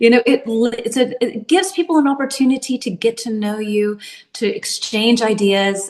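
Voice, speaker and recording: A woman talks with a Tennessee accent at a moderate pace. Her intonation is lively. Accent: Southern US (Tennessee). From US South, Nashville, Tennessee. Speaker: English teacher. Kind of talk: casual chat.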